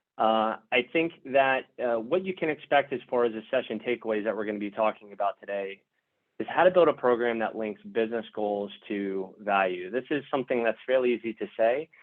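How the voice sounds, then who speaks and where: Medium in pitch, the man's voice has ordinary pitch variation. He speaks at a fairly quick pace. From United States. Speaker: software product executive. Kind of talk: webinar presentation. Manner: hesitant, many fillers.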